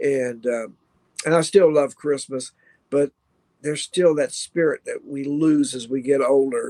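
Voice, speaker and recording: In a Kentucky accent, a man with a fairly high pitch talks at a fairly slow pace with fairly even intonation, the sound dry and close with no echo. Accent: Kentucky Southern US. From Kentucky (Louisville). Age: 60s. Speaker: rock guitarist and radio host. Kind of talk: casual interview chat.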